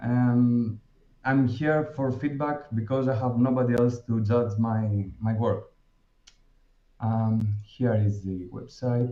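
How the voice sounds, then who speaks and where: A man with a Greek accent speaks very slowly in a dark, mellow tone at medium pitch. His intonation stays fairly even. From Greece. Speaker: dentist presenting a web design project. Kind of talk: project presentation. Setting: online virtual event with screen share. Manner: halting, many fillers.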